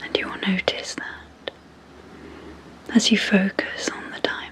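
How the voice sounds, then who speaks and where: A woman whispers with a British accent in a calm tone, at a fairly slow pace. Noticeable background noise sits behind her. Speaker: clinical psychologist and hypnotherapist. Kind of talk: sleep hypnosis. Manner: slow, calm.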